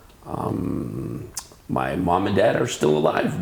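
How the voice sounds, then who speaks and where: Over noticeable background noise, a man with an American accent speaks with very wide pitch swings. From California, Santa Barbara. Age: 50s. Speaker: PE teacher and baseball coach. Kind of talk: interview.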